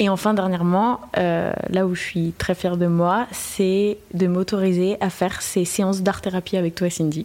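A woman speaks at a fairly slow pace with hardly any pauses and very even loudness. Her medium-pitched voice has monotone, flat intonation. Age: 20s. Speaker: music student. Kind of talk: casual interview. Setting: in a bar.

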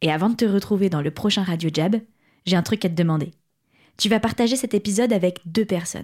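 Somewhat breathy and dark, mellow in tone, a woman talks at a very fast pace with medium pitch and ordinary pitch variation, on a very clean recording with a silent background. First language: French. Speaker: podcast host. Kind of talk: scripted intro and outro.

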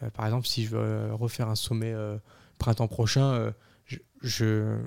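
A man's medium-pitched voice with a dark, mellow tone at a very slow pace. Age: 20s. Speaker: amateur high-altitude mountaineer, ski instructor and firefighter. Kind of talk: interview conversation.

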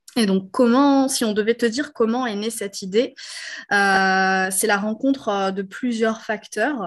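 A woman with a fairly high pitch speaks very slowly, with ordinary pitch variation. The background is quiet. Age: 30s. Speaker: entrepreneur, co-founder of a postpartum gift brand. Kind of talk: interview.

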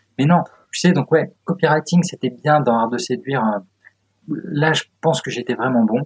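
A somewhat breathy man speaks at a moderate pace, with long, frequent pauses. The sound is dry and close, with no echo. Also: fairly high pitch for a man, ordinary pitch variation. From France, moved around provinces. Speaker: copywriter and author. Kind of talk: casual interview chat. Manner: animated.

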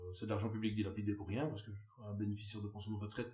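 A man with a fairly low voice talks amid noticeable background noise and audible room echo. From Belgium, Wallonia. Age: 30s. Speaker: farmer. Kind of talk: interview. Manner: animated.

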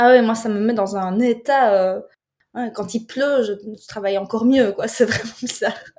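Fairly even intonation and a moderate pace shape an ordinary speaking voice. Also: woman, fairly high pitch for a woman. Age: 30s. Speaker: videographer and film director. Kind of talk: casual chat.

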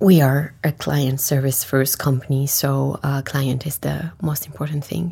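A woman with a very deep, low voice speaks at a fairly slow pace with hardly any pauses and ordinary pitch variation, against noticeable background noise. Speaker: investment firm co-founder. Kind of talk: interview. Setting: studio. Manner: hesitant, many fillers.

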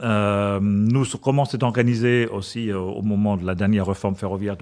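Against a quiet background, a man with a German accent speaks in a fairly low pitch with ordinary pitch variation. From Germany. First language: German (speaking French). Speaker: corporate purchasing director. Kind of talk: interview. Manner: halting.

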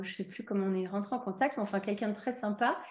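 A woman speaks with a slight English accent and a fairly high pitch. Her voice is somewhat breathy, with ordinary pitch variation. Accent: slight English tinge to her French. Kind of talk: casual interview.

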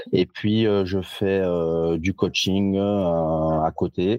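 A man's very deep, low voice with fairly even intonation, the sound dry and close with no echo. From France, Lyon area (Givors). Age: 30s. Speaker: fitness coach and trainer. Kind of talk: casual interview. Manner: frequent repetitions and hesitations.

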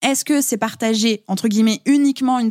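At a very fast pace, a woman speaks in a medium pitch in a very clean recording with a silent background and a dry, close sound with no echo. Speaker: podcast and business mentor. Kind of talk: casual interview chat. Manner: carefully articulated.

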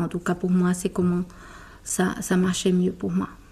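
This woman has a dark, mellow tone at a medium pitch, somewhat breathy. She talks fairly slowly in a flat monotone. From Brazil. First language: Portuguese (speaking French). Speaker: corporate lawyer. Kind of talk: interview. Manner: halting.

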